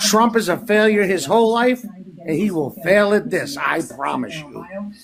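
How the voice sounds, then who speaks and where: An animated tone at a moderate pace, with noticeable background noise. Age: 60s. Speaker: military veteran. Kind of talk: casual chat.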